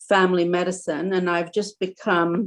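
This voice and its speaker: A fairly low-pitched woman at a moderate pace, with monotone, flat intonation. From Egypt, moved to Canada at nine. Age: 60s. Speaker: doctor and therapist. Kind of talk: interview. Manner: hesitant, many fillers.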